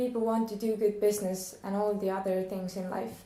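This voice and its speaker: A woman with a non-native accent at medium pitch, at a moderate pace in a monotone, flat intonation, with audible room echo and noticeable background noise. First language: not English. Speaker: questioner. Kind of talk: reading questions aloud.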